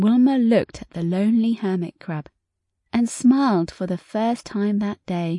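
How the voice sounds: The clip has a natural reading voice over a quiet background.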